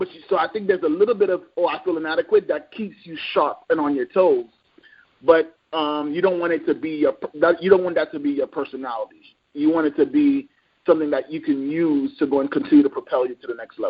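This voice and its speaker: A man talks at a very fast pace in a high pitch for a man. His intonation is lively, with big swings in loudness. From New York. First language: French and Creole. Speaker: motivational speaker. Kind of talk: podcast interview.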